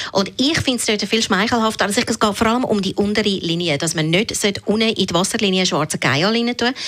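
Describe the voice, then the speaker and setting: Over noticeable background noise, a woman with a medium pitch speaks with lively intonation. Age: 40s. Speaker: beauty blogger. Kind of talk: radio interview.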